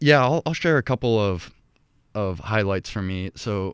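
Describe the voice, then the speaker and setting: Recorded with a dry, close sound, no echo and a quiet background, a man with an American accent has an unremarkable speaking voice, a fairly low pitch and a moderate pace. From Ecuador (Quito), to American parents. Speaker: college president. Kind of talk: interview.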